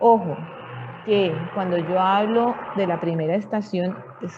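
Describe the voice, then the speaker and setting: A woman at a very slow pace with ordinary pitch variation, against noticeable background noise. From Colombia. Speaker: medical lecturer, physician. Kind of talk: lecture. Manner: halting, with frequent fillers and checks.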